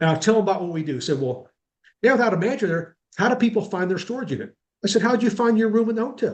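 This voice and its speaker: The man speaks with lively intonation. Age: 60s. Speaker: self-storage consultant. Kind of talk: webinar interview. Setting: video webinar. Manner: conversational, with fillers.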